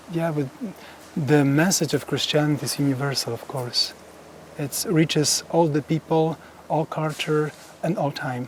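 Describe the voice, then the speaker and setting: A man's fairly high voice with a Polish accent, fairly even intonation, long and frequent pauses, and noticeable background noise. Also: moderate pace. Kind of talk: guided tour. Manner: halting.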